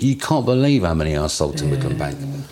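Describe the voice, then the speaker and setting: A man's pitch swings very widely. Noticeable background noise sits behind him. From west London. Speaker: interviewee in oral history. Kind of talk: life story interview.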